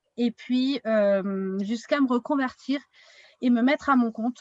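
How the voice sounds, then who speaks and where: A woman's high-pitched voice at a very slow pace, with ordinary pitch variation and a dry, close sound with no echo. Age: 30s. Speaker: wellness consultant. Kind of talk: online workshop.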